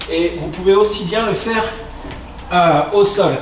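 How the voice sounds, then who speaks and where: Very slowly and with fairly even intonation, a man speaks amid audible room echo and light background noise. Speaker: fitness coach. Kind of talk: tutorial. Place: gym.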